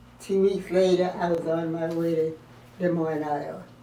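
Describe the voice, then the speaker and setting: Over noticeable background noise, a woman with a fairly low pitch talks fairly slowly in a flat, monotone way. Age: 80s+. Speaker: retired army officer and WWII veteran. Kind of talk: interview answer. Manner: hesitant, halting.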